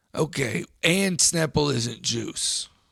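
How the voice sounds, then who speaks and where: A man does a raspy, put-on character voice at a fairly high pitch. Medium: comedy sketch. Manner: earnest, folksy.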